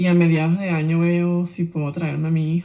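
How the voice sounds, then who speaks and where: This woman speaks in a fairly low pitch. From Venezuela. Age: 40s. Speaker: migrant. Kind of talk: testimony.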